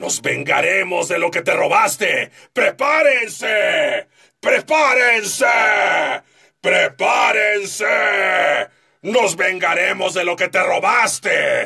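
Shouting in a put-on character voice, a man speaks at a high pitch and a very slow pace, leaving long, frequent pauses. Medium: tutorial demo. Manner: shouting, aggressive.

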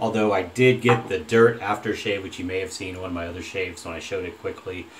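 The man's voice shows ordinary pitch variation. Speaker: shaving vlogger. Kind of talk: casual vlog chat. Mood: enthusiastic, relaxed. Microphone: phone near.

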